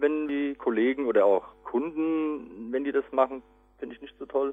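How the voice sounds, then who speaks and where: A man speaks at a moderate pace and a fairly high pitch. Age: 30s. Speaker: department manager. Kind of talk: interview. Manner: halting, many fillers.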